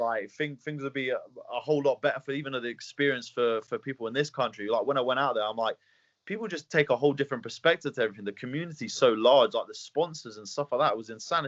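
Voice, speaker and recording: A man with an English accent talks at a very fast pace. His voice is fairly high with ordinary pitch variation. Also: hardly any pauses. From England. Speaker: mixed martial arts fighter. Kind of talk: interview. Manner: fast, halting with repeated words.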